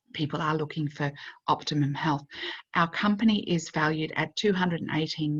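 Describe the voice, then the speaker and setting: A woman with a very deep, low, somewhat breathy voice speaks at a fairly quick pace with lively intonation. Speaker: network marketing presenter. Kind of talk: sales pitch.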